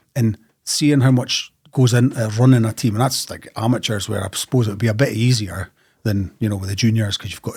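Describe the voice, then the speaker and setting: Recorded very cleanly against a silent background, a man with a northeast Scottish accent speaks at a fairly quick pace in a fairly low, somewhat breathy voice, his intonation fairly even and his loudness swinging widely. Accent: northeast Scottish (Doric-tinged). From northeast Scotland, Ellon, Aberdeenshire. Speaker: football author. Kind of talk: casual podcast interview. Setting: studio.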